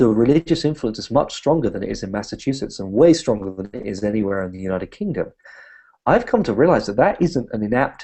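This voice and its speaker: With a British accent, a man talks very fast at a medium pitch, his intonation lively and his loudness swinging widely. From Britain. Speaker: humanist activist and speaker. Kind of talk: interview conversation.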